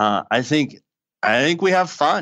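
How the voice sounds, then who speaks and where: A man with a strong Boston accent talks over a quiet background. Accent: Boston, thick. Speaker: college baseball head coach. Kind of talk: podcast interview. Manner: animated, many repetitions.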